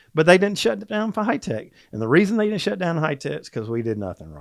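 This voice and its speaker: Speaking at a very fast pace with a Southern US accent, this voice swings very widely in pitch. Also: man, high pitch for a man, big swings in loudness. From US South, Georgia (Atlanta). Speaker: supplement company executive. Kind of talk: casual interview chat.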